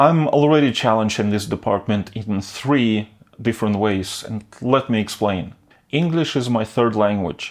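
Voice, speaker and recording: In a Northern European accent, a man speaks at a medium pitch with ordinary pitch variation. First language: not English; English is third language. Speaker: video creator. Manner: stutters, slow to get sentences out.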